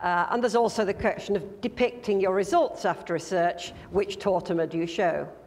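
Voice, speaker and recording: A woman at a medium pitch talks with hardly any pauses and ordinary pitch variation. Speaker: management consultant giving a conference talk. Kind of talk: conference presentation. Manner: fast.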